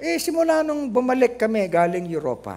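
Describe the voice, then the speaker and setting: A man's dark, mellow tone with very wide pitch swings at a fairly quick pace. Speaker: pastor. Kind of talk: sermon. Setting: church.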